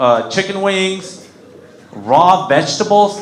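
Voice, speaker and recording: A man's very slow, high-pitched speech with noticeable background noise. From Mexico, raised in Kentucky and North Carolina from age 7. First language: Spanish. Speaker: comedian. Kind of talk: stand-up. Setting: stage with audience.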